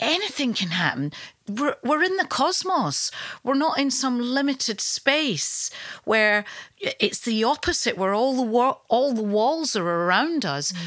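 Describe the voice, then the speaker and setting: A woman's high voice in a Glaswegian accent, with very wide pitch swings at a fairly slow pace, on a very clean recording with a silent background. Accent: Glaswegian Scottish. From Scotland, Glasgow. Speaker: yoga teacher. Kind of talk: casual chat.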